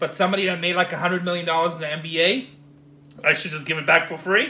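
A man talks at a very fast pace in a high pitch. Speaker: storage auction buyer vlogger. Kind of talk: casual vlog chat, ranting. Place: home room. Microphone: phone near.

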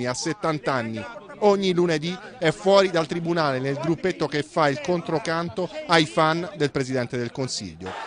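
Over noticeable background noise, a man speaks at a moderate pace. His fairly high voice has lively intonation. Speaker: news reporter. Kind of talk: TV news report narration.

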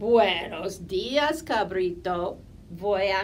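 Lively intonation marks a natural reading voice.

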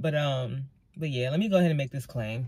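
Somewhat breathy, a woman's voice comes across dry with no echo against a quiet background. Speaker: lifestyle vlogger. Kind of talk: casual vlog chat. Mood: frustrated but chatty. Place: car. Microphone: phone near.

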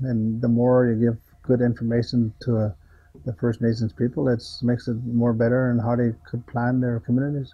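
Somewhat breathy, a man's voice comes through over a quiet background. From Fort McKay, northern Alberta, Canada. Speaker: business owner. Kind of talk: interview. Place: office. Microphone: lapel.

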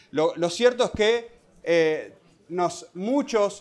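High-pitched speech from a man, with ordinary variation in pitch. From Uruguay. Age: 30s. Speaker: social policy director; panelist. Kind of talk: panel talk. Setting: standing at a panel with audience. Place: hall. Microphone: handheld.

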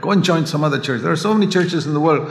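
Faint music sits in the background. The room echo is audible. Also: man. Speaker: preacher. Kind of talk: sermon. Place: church. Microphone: podium.

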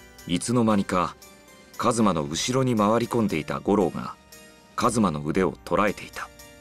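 With music in the background, a man talks at a fairly low pitch and with lively intonation. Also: moderate pace. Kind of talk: narration of a story, reading.

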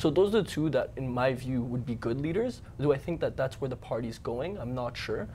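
Over light background noise, a man speaks at a very fast pace in a dark, mellow tone with vocal fry. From Canada. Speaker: political science student; guest. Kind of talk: panel discussion. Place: studio. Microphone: lapel.

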